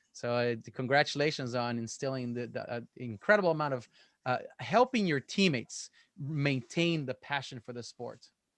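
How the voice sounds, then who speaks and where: With a non-native accent, a man speaks at a moderate pace, his loudness swinging widely, against a quiet background in a dry, close sound with no echo. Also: medium pitch for a man, ordinary pitch variation. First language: not English. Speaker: gymnastics coach and meet commentator. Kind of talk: casual chat; live sports commentary.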